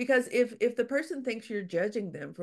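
Using lively intonation and some vocal fry, a woman speaks at a moderate pace. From Louisiana. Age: 60s. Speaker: author. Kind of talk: interview conversation.

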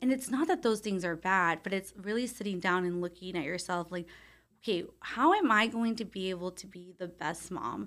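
A woman of medium pitch speaks in a normal speaking voice at a moderate pace, with ordinary pitch variation and big swings in loudness. The recording is very clean, the background silent. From Texas, Brownsville. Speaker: marriage and family therapist. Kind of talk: interview.

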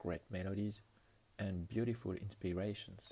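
Somewhat breathy and dark, mellow in tone, the voice carries a French accent, ordinary pitch variation and a moderate pace. The recording is very clean, with a silent background. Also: man. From France. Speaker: podcast host. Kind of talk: music show presentation.

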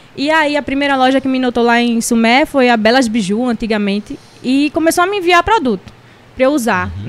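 A woman with a high voice speaks in an animated tone at a moderate pace, her pitch varying in an ordinary way. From Recife, Pernambuco, Brazil. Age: 30s. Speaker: digital influencer and makeup artist. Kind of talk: casual interview chat. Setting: studio. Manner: talkative, animated.

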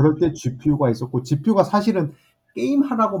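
With a dark, mellow tone, a man speaks fairly quickly and somewhat breathily, his pitch swinging very widely. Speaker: AI chip startup CEO. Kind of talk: casual interview.

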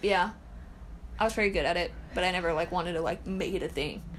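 Vocal fry in a woman's medium-pitched voice at a fairly quick pace, with fairly even intonation. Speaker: podcast host. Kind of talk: casual chat.

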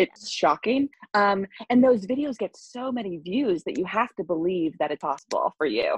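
The speaker has an American accent and a somewhat breathy voice. Pitch swings very widely, and the sound is dry and close with no echo. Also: woman, medium pitch for a woman, moderate pace. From US Northeast, Long Island. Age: 20s. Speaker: salon client, film production worker. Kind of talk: casual interview.

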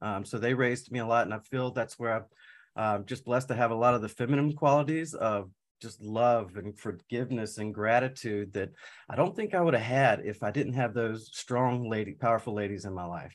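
Against a quiet background, a man uses a normal speaking voice at a medium pitch, speaking fairly quickly with ordinary pitch variation. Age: 40s. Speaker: certified high performance coach. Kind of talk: casual interview.

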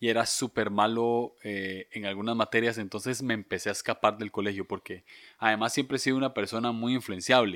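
A man with a Costa Rican accent on a very clean recording with a silent background, the sound dry and close with no echo. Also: medium pitch for a man, fairly even intonation, fairly quick pace. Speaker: podcast co-host. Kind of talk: casual chat.

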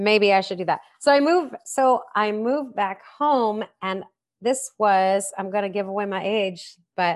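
Over a quiet background, a woman with an American accent uses a plain, everyday voice at medium pitch with ordinary pitch variation. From Missouri. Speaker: sommelier and wine educator. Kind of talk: interview.

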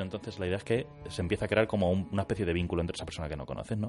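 A man's very deep, low-pitched voice over music in the background. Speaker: radio co-host. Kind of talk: casual chat. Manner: late-night radio style.

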